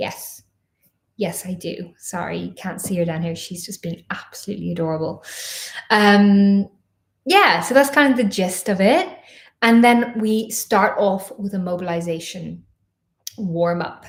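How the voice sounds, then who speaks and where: A somewhat breathy woman's voice at a medium pitch with ordinary variation, fairly slow with long, frequent pauses and big swings in loudness. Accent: slight Irish. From Ireland. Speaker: professional dancer and online dance coach. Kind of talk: live-stream Q&A chat. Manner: chatty, filler-heavy.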